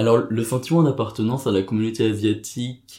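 Somewhat breathy and fairly low in pitch, a man speaks with a dark, mellow tone at a fairly slow pace. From France. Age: 20s. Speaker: interviewee sharing adoption story. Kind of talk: personal testimony interview. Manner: hesitant, many fillers and repetitions.

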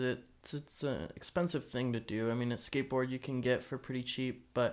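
A man with an American accent speaks at a fairly quick pace in a plain, everyday voice, medium in pitch, on a very clean recording with a silent background. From Arizona, US. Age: 20s. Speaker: action sports photographer. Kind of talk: casual chat. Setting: in person at host's house.

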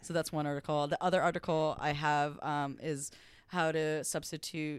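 A woman with a Californian accent speaks at a moderate pace in a very deep, low voice with flat, monotone intonation, on a very clean recording with a silent background. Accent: Californian American English. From US, Los Angeles. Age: 30s. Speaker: first assistant director in TV. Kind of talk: casual interview chat.

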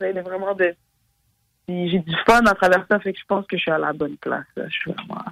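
This man has a high pitch and fairly even intonation. He moves at a moderate pace, with long, frequent pauses. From Montreal, Quebec. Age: 20s. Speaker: rapper. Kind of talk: interview. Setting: phone call. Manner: halting.

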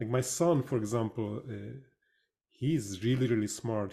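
A man with a Hungarian accent speaks at a moderate pace in a fairly low, somewhat breathy voice. His tone is dark and mellow, and his pitch varies in an ordinary way. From Hungary. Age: 50s. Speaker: podcast host. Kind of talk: casual interview chat.

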